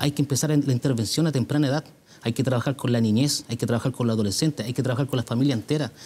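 Very fast and very even in loudness, a man's somewhat breathy voice has a dark, mellow tone and fairly even intonation. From Puente Alto, Santiago, Chile; Chile. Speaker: mayoral candidate; candidate. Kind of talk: televised political debate. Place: studio. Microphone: lapel.

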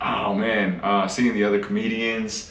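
Audible room echo surrounds a fairly bright tone with fairly even intonation. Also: man.

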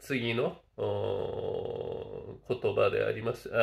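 A man talks very slowly against a quiet background. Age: 60s. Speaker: Buddhist teacher. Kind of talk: lecture. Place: home room. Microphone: webcam.

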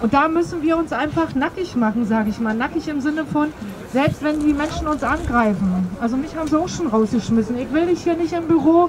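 A woman's high-pitched voice, fairly quick and lively in intonation, over noticeable background noise. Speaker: demonstrator and speaker; demonstrator, speaker. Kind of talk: open mic speech, appeal; public speech at protest. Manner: earnest, religious. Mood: encouraging, earnest. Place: street. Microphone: camera far.

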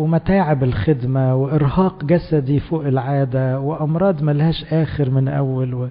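With fairly even intonation, a man goes at a very slow pace. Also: fairly high pitch for a man, hardly any pauses. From Egypt. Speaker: priest; priest giving a sermon. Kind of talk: sermon. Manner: conversational. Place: church. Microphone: handheld.

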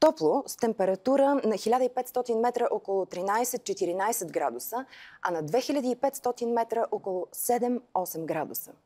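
Her pitch is fairly high and swings very widely. This woman speaks against a quiet background. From Bulgaria. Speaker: TV weather presenter. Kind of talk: televised weather forecast read from script. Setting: TV studio. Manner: crisp, even-paced broadcast delivery; polite, warmly formal sign-off. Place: studio. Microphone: lapel.

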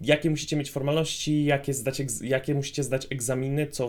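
A man's medium-pitched voice, an unremarkable speaking voice. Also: very clean recording, silent background. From Poland. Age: 20s. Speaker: paramedic and vlogger. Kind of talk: vlog monologue.

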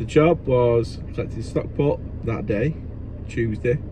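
Background noise is noticeable here. The voice belongs to a man. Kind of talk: casual vlog chat. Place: car. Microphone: phone near.

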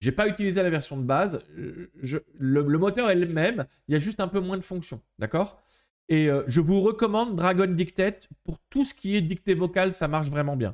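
A man with a high pitch speaks at a moderate pace in an energetic tone. His intonation is lively, and the background stays quiet. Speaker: digital marketing trainer; presenter. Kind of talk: live webinar tutorial. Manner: casual, energetic. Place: home room. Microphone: webcam.

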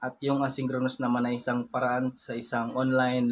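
A man talks at a fairly slow pace and a medium pitch. His intonation is monotone and flat, with light background noise. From Philippines. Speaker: family vlogger. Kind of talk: vlog narration. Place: home room. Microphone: phone near.

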